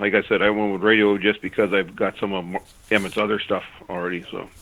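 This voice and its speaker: A man with an Upper Michigan accent, fairly low in pitch, at a very fast pace. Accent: Yooper. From Upper Peninsula of Michigan. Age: old. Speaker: caller. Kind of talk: casual chat. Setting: phone call. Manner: halting.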